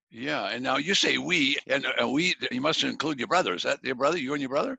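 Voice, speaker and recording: With some vocal fry, a man speaks at a fairly quick pace in a fairly high voice with ordinary pitch variation. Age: 70s. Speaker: podcast host. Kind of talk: interview. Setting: podcast.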